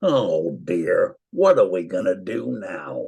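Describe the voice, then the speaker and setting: A man's put-on character voice at a very slow pace. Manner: worried, plaintive.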